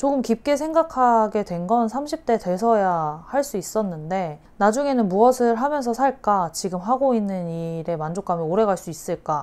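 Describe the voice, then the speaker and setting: A woman's fairly high voice with very wide pitch swings, at a moderate pace with hardly any pauses, over a quiet background. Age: 30s. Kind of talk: interview answer.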